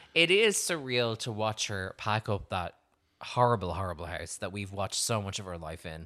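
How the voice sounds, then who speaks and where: Recorded very cleanly against a silent background, a man with an Irish accent talks at a moderate pace in a bright, sharp tone with ordinary pitch variation. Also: fairly low pitch for a man. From Ireland. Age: 30s. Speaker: podcast host. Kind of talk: casual chat. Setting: studio.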